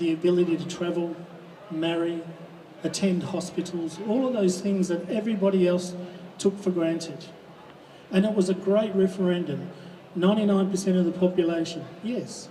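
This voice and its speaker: A moderate pace with long, frequent pauses, fairly even intonation and an Australian accent over noticeable background noise. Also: man, high pitch for a man. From Western Australia (Kalgoorlie, Goldfields). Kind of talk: rally speech. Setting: outdoors at a public rally.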